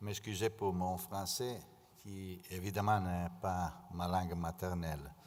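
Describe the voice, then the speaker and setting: At a fairly slow pace, a man with an Italian accent talks in a very deep, low voice with fairly even intonation, amid audible room echo. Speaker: conference speaker. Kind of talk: conference presentation. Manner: halting, many hesitations.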